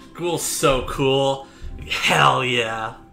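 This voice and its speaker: Faint background music can be heard. Over it, a man talks. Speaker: anime reaction creator. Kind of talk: reaction commentary. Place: home room.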